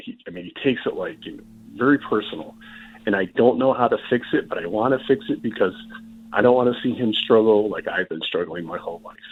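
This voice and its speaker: Music plays in the background as a man talks at a very fast pace. His loudness swings widely. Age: 50s. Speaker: caller. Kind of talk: question to a call-in show.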